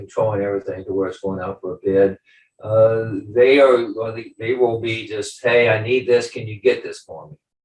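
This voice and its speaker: Somewhat breathy, a man with an American accent speaks at a moderate pace in a medium pitch, with fairly even intonation but big swings in loudness. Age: 70s. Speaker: business owner, client. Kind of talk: testimonial interview. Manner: halting, many fillers.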